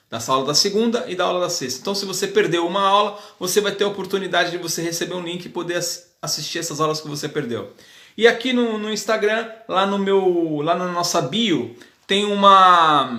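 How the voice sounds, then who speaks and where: At a moderate pace, a man talks in a high pitch with ordinary pitch variation, and audible room echo is present. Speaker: hairdressing teacher. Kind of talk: live class. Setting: live video stream.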